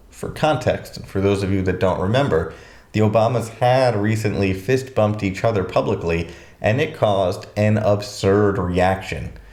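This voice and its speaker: The voice moves at a moderate pace with ordinary pitch variation, and audible room echo fills the space. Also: man, fairly low pitch for a man. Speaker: educational YouTuber. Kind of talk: scripted commentary video. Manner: conversational, casual asides.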